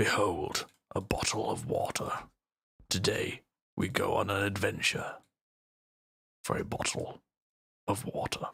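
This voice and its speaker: Here a man puts on a raspy character voice. He speaks at a moderate pace with long, frequent pauses. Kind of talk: grand, theatrical. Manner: pompous, dramatic.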